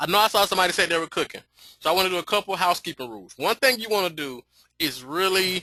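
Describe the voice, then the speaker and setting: Over a quiet background, a man talks very fast in a high pitch, his tone bright and sharp and his intonation lively, with a dry, close sound and no echo. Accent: American. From US South, Atlanta. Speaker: business coach. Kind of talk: webinar training. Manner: animated.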